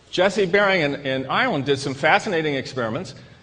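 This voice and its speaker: A man with an American accent talks at a moderate pace with ordinary pitch variation. Audible room echo surrounds his voice. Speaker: psychiatrist and lecturer. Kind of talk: lecture. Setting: stage with audience. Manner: repetitive, halting restarts.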